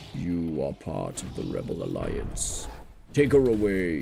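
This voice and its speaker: A man's put-on character voice, very deep and low, with a menacing tone, very wide pitch swings, big swings in loudness and a fairly slow pace over clear background noise. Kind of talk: regal. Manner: commanding, menacing.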